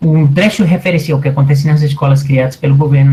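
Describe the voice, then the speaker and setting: Somewhat breathy male voice, dark and mellow in tone, at a fairly quick pace. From Colombia. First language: Spanish (speaking Portuguese). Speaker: anthropology professor. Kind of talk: lecture.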